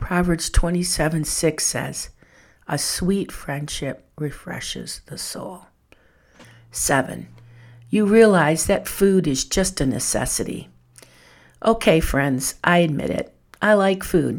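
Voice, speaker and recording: Speaking very slowly with long, frequent pauses, a woman uses a fairly low pitch with ordinary pitch variation, vocal fry and big swings in loudness, on a very clean recording with a silent background. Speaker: podcast host and speaker on faith. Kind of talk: devotional podcast monologue.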